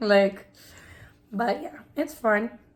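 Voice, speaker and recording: Over noticeable background noise, a woman with an American accent speaks in a fairly high pitch with fairly even intonation. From New York (Queens), Dominican family. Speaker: preschool teacher, vlogger. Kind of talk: casual chat.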